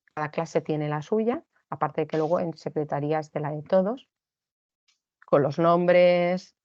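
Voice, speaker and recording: The voice carries fairly even intonation in a dry, close sound with no echo. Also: woman. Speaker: teacher giving a training talk to teachers. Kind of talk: online lecture / training talk. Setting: recorded online session.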